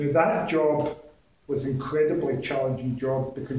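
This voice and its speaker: A man speaks with a west of Scotland accent at a fairly high pitch. His pace is moderate, and the room echo is audible. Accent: west of Scotland Scottish. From Scotland, Ayr (west coast). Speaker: accountant giving a club speech. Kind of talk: prepared public speech. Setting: speaking club meeting with audience.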